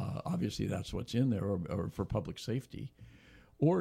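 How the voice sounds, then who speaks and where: Vocal fry and very wide pitch swings from a man, at a moderate pace. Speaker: radio host. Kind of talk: radio interview. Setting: studio.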